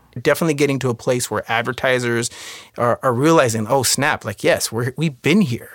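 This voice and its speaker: An unremarkable speaking voice from a man, medium-pitched with ordinary pitch variation, at a fairly quick pace. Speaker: podcast host. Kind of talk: scripted intro and interview, conversational.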